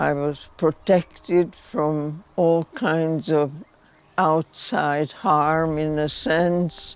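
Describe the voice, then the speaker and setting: A woman's very deep, low voice with a Hungarian accent at a very slow pace, music in the background. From Hungary. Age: 90s. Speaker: Holocaust survivor. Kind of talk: testimony.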